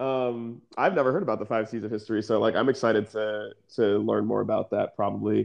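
A man's fairly quick delivery with hardly any pauses. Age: 30s. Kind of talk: casual chat. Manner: animated.

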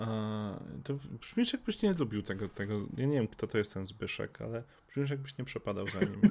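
A man with an ordinary speaking voice at a medium pitch, a fairly quick pace and ordinary pitch variation. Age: 30s. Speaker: streamer. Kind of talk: casual chat.

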